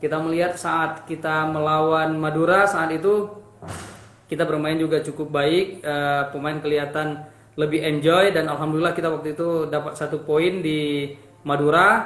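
Amid noticeable background noise and audible room echo, a man with a fairly high pitch speaks at a moderate pace in a monotone, flat way. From Indonesia, Aceh. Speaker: football coach. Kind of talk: interview.

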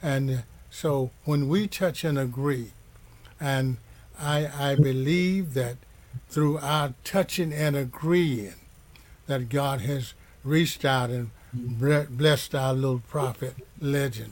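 A somewhat breathy man with a fairly high pitch and ordinary pitch variation, at a very slow pace with long, frequent pauses. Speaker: minister leading a church broadcast. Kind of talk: sermon. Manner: halting.

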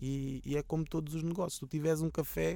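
The speaker is a man. His delivery moves at a fairly quick pace. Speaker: rapper. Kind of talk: casual interview.

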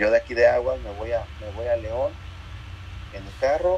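Noticeable background noise fills the recording while a man talks at a moderate speed. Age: 30s. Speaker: muralist artist. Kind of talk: interview. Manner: halting, many fillers and repetitions.

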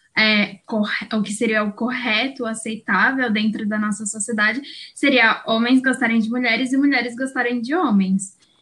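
At a moderate pace, a bright, sharp voice with a slight Minas Gerais accent keeps its intonation fairly even. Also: woman. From Brazil, São Paulo. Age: 20s. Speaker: law student. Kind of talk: casual chat.

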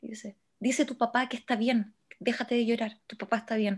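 A plain, everyday voice from a woman, fairly high-pitched, with fairly even intonation at a moderate pace on a very clean recording with a silent background. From Chile, Santiago. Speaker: podcast co-host. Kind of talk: casual chat.

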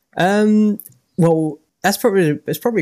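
A man talks at a moderate pace in a dry, close recording with no echo. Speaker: app developer.

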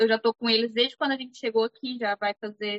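A woman speaks in an ordinary speaking voice at a fairly high pitch. She talks at a fairly quick pace with ordinary pitch variation. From Brazil. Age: 20s. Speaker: cleaning business owner. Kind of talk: casual interview chat.

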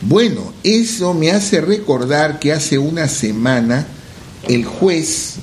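Pitch swings very widely at a very slow pace. Noticeable background noise and audible room echo fill the recording. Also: man. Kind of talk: casual radio chat.

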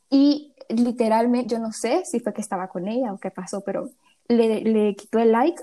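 A woman talks in a fairly high, somewhat breathy voice with a dark, mellow tone. Her pitch varies in an ordinary way. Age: young. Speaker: podcast co-host. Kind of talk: casual chat.

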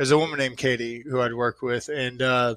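With an American accent, a man with a plain, everyday voice and a medium pitch talks at a fairly quick pace with fairly even intonation. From Austin, Texas. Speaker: guest, friend of the show. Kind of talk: casual chat, serious discussion about grief.

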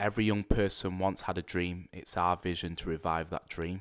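A man speaks at a moderate pace in a very deep, low voice with fairly even intonation, on a very clean recording with a silent background. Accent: Mancunian. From Manchester, England (Rusholme). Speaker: youth worker. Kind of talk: podcast interview.

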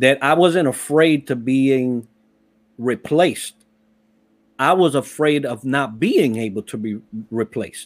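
The recording is very clean, with a silent background. A man speaks at a medium pitch and a fairly slow pace, with ordinary pitch variation and long, frequent pauses. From Puerto Rico and the Bronx, New York. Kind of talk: casual interview chat.

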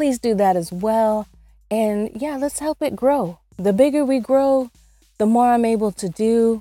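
A woman with a fairly high pitch and a dark, mellow tone speaks at a fairly slow pace, her pitch varying in an ordinary way, on a very clean recording with a silent background. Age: 50s. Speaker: online radio host. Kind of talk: casual chat. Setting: not in studio.

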